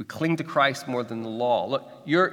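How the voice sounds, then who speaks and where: Over noticeable background noise, a man with an American accent speaks at a medium pitch with lively intonation. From Kansas City, Missouri. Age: 40s. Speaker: pastor. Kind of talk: sermon. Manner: halting, frequent repetitions.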